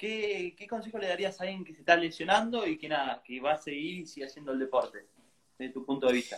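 A high-pitched man speaking very fast, with lively intonation and big swings in loudness. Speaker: interview host. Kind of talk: interview.

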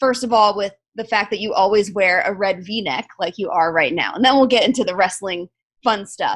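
This woman has an unremarkable speaking voice, medium pitch and a moderate pace. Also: ordinary pitch variation. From South Florida. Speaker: podcast host. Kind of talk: casual interview chat.

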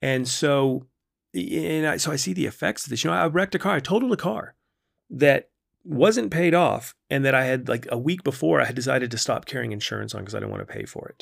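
A man speaks at a medium pitch and a fairly quick pace, with vocal fry and very wide pitch swings. The recording is very clean, the background silent. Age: 40s. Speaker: podcast host, wellness coach. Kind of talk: casual solo monologue. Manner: relaxed, conversational with frequent fillers.

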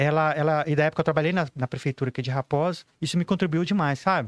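Very fast speech from a man on a very clean recording with a silent background. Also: dry, close sound with no echo. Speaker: professional photographer. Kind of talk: casual podcast interview.

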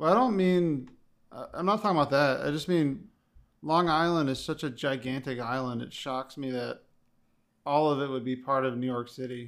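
A man with a plain, everyday voice and an American accent, fairly high in pitch with ordinary pitch variation, at a moderate pace in a very clean recording with a silent background. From Connecticut. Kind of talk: casual chat.

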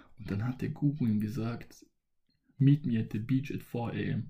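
Somewhat breathy and dark, mellow in tone, a man talks at a moderate pace and medium pitch with ordinary pitch variation. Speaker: solo podcaster. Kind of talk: motivational monologue. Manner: casual, with many filler sounds.

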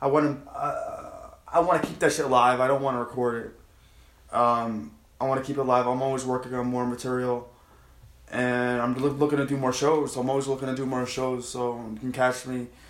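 A man with a New York accent, medium pitch, monotone, flat intonation and a moderate pace, with audible room echo. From Long Island, New York. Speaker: comedian. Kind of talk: casual chat.

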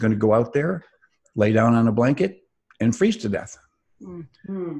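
This man's pitch sits in the medium range. His delivery moves at a fairly quick pace. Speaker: author and entrepreneur. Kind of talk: interview. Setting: video call.

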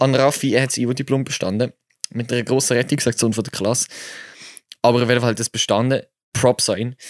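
On a very clean recording with a silent background and a dry, close sound with no echo, a man with an animated tone speaks very fast at medium pitch, with long, frequent pauses. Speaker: podcast co-host. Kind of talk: casual chat. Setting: sitting side by side in an attic.

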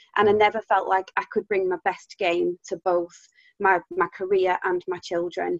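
The speech comes in an English accent with monotone, flat intonation. The sound is dry and close, with no echo. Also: woman, medium pitch for a woman, moderate pace. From UK. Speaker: business founder. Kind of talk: interview, conversational. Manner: passionate, expressive tone.

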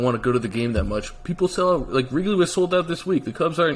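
A man with an American accent and lively intonation at a very fast pace, amid noticeable background noise. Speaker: podcast co-host. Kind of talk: casual sports podcast chat.

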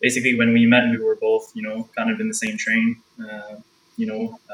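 A man talks at a fairly quick pace. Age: 20s. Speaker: freelance photographer and videographer. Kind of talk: casual interview chat.

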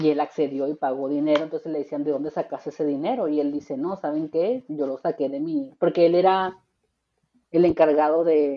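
Ordinary pitch variation marks a woman's speech. Her voice is very deep and low. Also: moderate pace. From Tijuana, Mexico. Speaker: podcast host, radio announcer and traffic reporter. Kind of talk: casual chat. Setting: remote recording.

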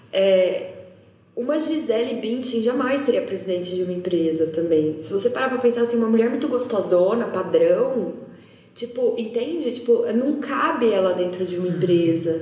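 A woman with a fairly high voice speaks in a room with audible echo and noticeable background noise. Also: lively intonation, moderate pace. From interior of São Paulo state, Brazil. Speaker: social entrepreneur. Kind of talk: casual chat.

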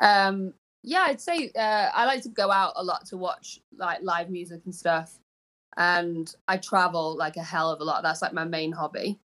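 In a very clean recording with a silent background, a woman speaks in a Manchester accent at a medium pitch and moderate pace. Her tone is bright and sharp, with ordinary pitch variation. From Manchester, England. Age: young. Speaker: pop singer-songwriter. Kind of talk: casual interview.

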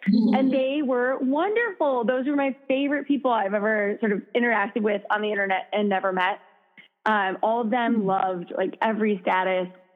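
Over music in the background, a woman with an American accent speaks at a fairly quick pace and fairly high pitch, with ordinary pitch variation and very even loudness. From US Midwest, Minnesota. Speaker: founder of a fitness app. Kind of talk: casual interview chat. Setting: phone call.

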